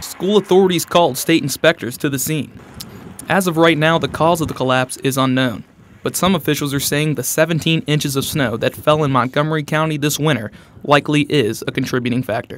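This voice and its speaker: In an unremarkable speaking voice, a man of fairly high pitch talks fairly quickly with ordinary pitch variation. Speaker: sports and news reporter, college student. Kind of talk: broadcast news and sports reporter delivery.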